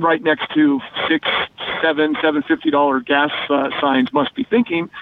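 A man speaks with an American accent at a fairly high pitch. There is noticeable background noise. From Denver area, Colorado. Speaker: automotive journalist. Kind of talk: casual radio chat.

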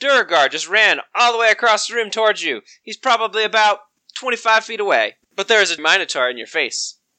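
Quiet surroundings and an unforced reading voice.

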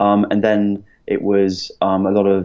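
A man with a London accent and a fairly low pitch. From London, England. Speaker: property investment company founder. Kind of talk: interview.

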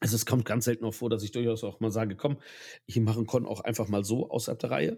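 A man's somewhat breathy, dark and mellow voice at medium pitch, fairly even in intonation, on a very clean recording with a silent background. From Germany, Ahr valley (Rhineland-Palatinate). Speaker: LARP photographer. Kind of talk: casual chat. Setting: at a table with drinks, in person.

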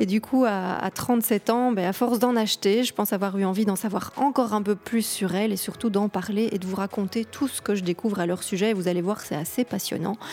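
Over noticeable background noise, the speech runs at a fairly quick pace with hardly any pauses and fairly even intonation. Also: woman, medium pitch for a woman. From Belgium. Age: 30s. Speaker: podcast host and blogger. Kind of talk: solo podcast monologue. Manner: hesitant, with fillers and repetitions.

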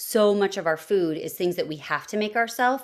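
The speaker has a plain, everyday voice and lively intonation at a moderate pace. The recording is very clean, with a silent background. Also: woman. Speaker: mom with ulcerative colitis, former music teacher. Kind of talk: casual chat.

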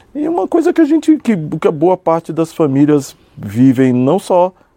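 A man speaks in a São Paulo accent with lively intonation. The sound is dry and close, with no echo. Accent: São Paulo Brazilian Portuguese. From São Paulo, Brazil (south zone). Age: 50s. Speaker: businessman, cultural incentive projects. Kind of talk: interview. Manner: halting, many repetitions.

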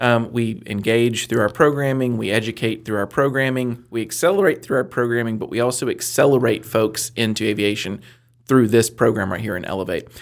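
At a fairly quick pace and with hardly any pauses, a man talks in an ordinary speaking voice, his pitch medium and its variation ordinary. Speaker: business center director and mentor. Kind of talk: casual chat, joking interview. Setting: studio.

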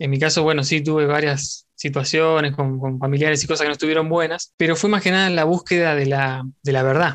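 A man with a Rioplatense accent speaks at a fairly quick pace and a fairly high pitch, with hardly any pauses. His intonation stays fairly even and his loudness very even. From Argentina. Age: 20s. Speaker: podcaster. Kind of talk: casual chat.

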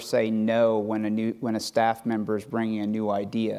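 In a dark, mellow tone at medium pitch, a man speaks at a fairly slow pace with monotone, flat intonation. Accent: American. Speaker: high performance director, American football. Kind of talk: panel discussion on stage. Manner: hesitant, filler-heavy.

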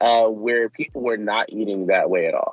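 A man with an American accent talks at a moderate pace. He has an unremarkable speaking voice at a medium pitch. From Michigan. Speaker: activist. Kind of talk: interview. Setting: outdoors in a park.

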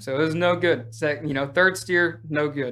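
A man's bright, sharp voice moves at a moderate pace with ordinary pitch variation. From Oklahoma. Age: 20s. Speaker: rodeo team roper. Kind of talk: casual interview.

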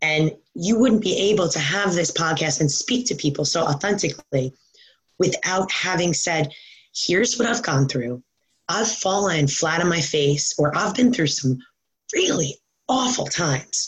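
Lively in intonation, a woman with an unremarkable speaking voice and an American accent talks at a fairly slow pace and a fairly low pitch. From New York. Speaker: fitness coach. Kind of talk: interview.

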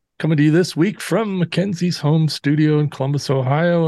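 A dark, mellow tone carries speech delivered at a moderate pace. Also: man. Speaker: podcast host. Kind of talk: casual podcast chat. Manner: relaxed, informal.

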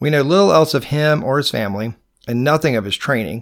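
A man's lively, fairly quick speech on a very clean recording with a silent background. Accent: Georgia. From US South, Georgia. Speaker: podcast host and painter. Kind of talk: scripted podcast narration, educational. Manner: informal, conversational.

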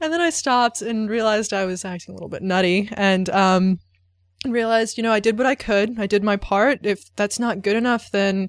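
Against a quiet background, a woman with a plain, everyday voice speaks fairly quickly at a fairly high pitch with ordinary pitch variation. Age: 20s. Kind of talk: personal reflection monologue. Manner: casual, conversational.

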